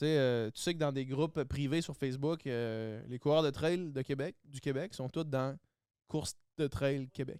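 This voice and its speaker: A man with a Quebec accent, a fairly high pitch and fairly even intonation, at a fairly slow pace, in a very clean recording with a silent background. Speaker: guest, former reality TV contestant. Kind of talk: casual chat.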